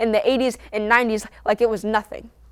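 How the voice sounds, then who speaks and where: A woman talks very fast at a fairly high pitch with fairly even intonation, in a very clean recording with a silent background. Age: young. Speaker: spoken word poet. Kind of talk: spoken word poetry performance.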